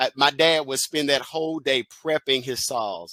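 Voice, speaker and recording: Fairly quick and animated, a man with a Southern US accent speaks in a fairly high pitch with a bright, sharp tone, the sound dry and close with no echo, on a very clean recording with a silent background. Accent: Southern country. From Mississippi, US South. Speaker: educational consultant and motivational speaker. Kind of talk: keynote speech. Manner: animated, repetitive emphasis.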